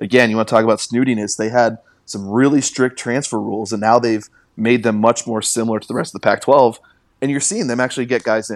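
Speaking very fast with fairly even intonation, a man with an American accent and a medium pitch comes through on a very clean recording with a silent background. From western Washington (Carnation). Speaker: sports journalist. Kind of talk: casual chat.

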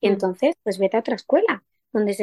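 A woman at a moderate pace with lively intonation, in a dry, close sound with no echo. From Madrid, Spain. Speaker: actress. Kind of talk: interview.

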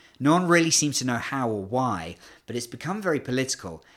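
A speaker with a British accent talks at a fairly quick pace, the pitch swinging very widely. The recording is very clean, with a silent background. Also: man. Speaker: China sports analyst. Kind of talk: interview chat. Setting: studio.

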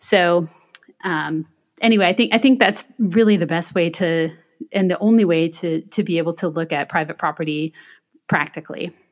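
A woman with an American accent speaks in a plain, everyday voice, pitched fairly low with ordinary pitch variation. The recording is very clean, with a silent background. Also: moderate pace. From US Midwest, Michigan. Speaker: attorney and author. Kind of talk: interview.

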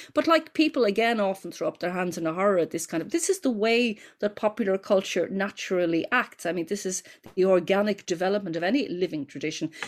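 In an Irish accent, the speaker races along at a very fast pace with lively intonation on a very clean recording with a silent background. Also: woman, medium pitch for a woman. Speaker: folklore professor. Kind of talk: interview. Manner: hesitant, many repeated words.

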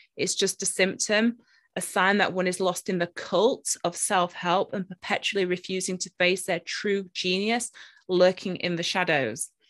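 A woman with a British accent at medium pitch, moderate pace and fairly even intonation, in a dry, close sound with no echo. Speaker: podcast host and spiritual teacher. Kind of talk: interview. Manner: talkative.

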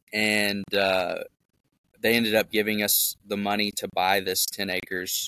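In an American accent, a man speaks fairly slowly with a bright, sharp tone and monotone, flat intonation, the sound dry and close with no echo. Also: fairly low pitch for a man. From US South, Memphis, Tennessee. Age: 30s. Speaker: off-grid homebuilder and real estate investor. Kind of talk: casual interview chat.

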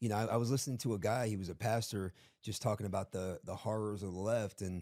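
Very fast speech comes from a man with a dark, mellow tone and fairly low pitch, in a very clean recording with a silent background. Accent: American. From South Florida. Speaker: pastor.

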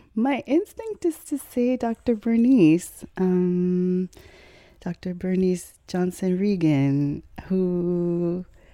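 Very slow speech in a dark, mellow tone comes with an American accent and ordinary pitch variation. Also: woman. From Chicago, US Midwest. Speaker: blues singer and vocal healer. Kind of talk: casual interview. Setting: at her home. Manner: animated.

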